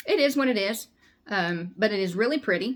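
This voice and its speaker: In a Southern US accent, a woman talks with lively intonation. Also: very clean recording, silent background. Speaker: crochet vlogger. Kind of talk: casual chat. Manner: halting.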